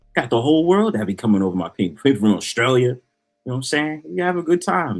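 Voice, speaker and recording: A man with a New York accent speaks at a very fast pace and a medium pitch, with very wide pitch swings. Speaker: streamer co-host. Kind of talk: casual chat. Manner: comes across as aggressive.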